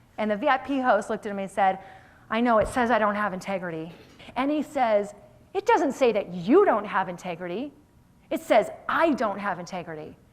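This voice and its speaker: Over noticeable background noise, a woman with a fairly high pitch speaks in an energetic tone at a moderate pace, her pitch swinging very widely. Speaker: motivational keynote speaker. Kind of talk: live keynote speech to audience. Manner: highly energetic.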